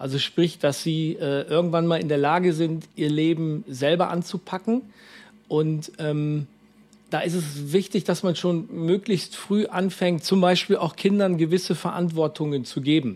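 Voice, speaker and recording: Speaking at a fairly slow pace, the man has a high-pitched voice with fairly even intonation. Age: 40s. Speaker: youth mission worker. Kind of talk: interview. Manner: halting, many fillers.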